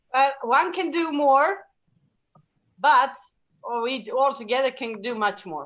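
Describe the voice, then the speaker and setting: Speaking with a Serbian accent, a woman uses a high pitch and lively intonation, with big swings in loudness. Her pace is fairly slow, broken by long, frequent pauses. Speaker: laughter yoga teacher. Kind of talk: casual chat. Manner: halting.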